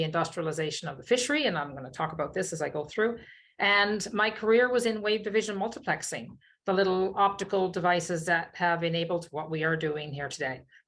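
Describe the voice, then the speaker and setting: With a Newfoundland accent, a woman speaks at medium pitch and a fairly quick pace, with ordinary pitch variation. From Newfoundland, Fogo Island. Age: 60s. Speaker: keynote speaker, social entrepreneur. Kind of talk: keynote talk.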